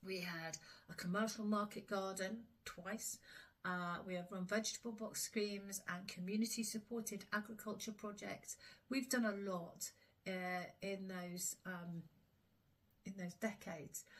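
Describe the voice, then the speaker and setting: With a southern English accent, a woman at medium pitch speaks somewhat breathily at a fairly slow pace with fairly even intonation. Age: 60s. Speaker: smallholder. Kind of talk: casual vlog talk. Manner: hesitant, many fillers.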